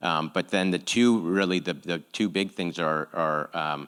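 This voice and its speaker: Here a man speaks with a very deep, low pitch. The recording is very clean, with a silent background. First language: not English. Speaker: nonprofit executive. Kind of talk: panel Q&A. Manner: halting, many fillers.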